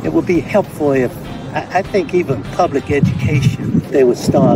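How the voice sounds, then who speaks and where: Amid loud background noise, a man speaks at a moderate pace in a dry sound with no echo. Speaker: amateur tennis player. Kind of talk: interview answer. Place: stadium.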